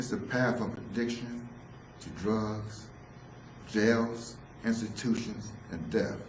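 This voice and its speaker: A monotone, flat delivery at a very slow pace, with big swings in loudness, audible room echo and noticeable background noise. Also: man, medium pitch for a man. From San Francisco, US. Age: 60s. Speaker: solo theatre performer, former drug counselor. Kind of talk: autobiographical solo performance.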